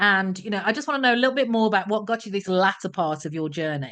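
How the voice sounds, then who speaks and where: Over a quiet background, a woman with a British accent speaks at a medium pitch in a bright, sharp tone with lively intonation. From Britain. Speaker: podcast host and career strategist. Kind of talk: interview. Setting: podcast.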